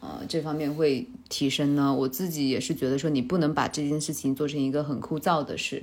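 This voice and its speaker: Speaking at a fairly quick pace, a woman has a very deep, low pitch with ordinary pitch variation. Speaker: podcast host. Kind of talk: casual chat.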